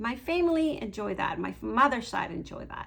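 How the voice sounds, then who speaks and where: A moderate pace with a Mexican accent. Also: woman. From Mexico. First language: Spanish. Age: 50s. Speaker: beauty vlogger. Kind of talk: casual vlog monologue.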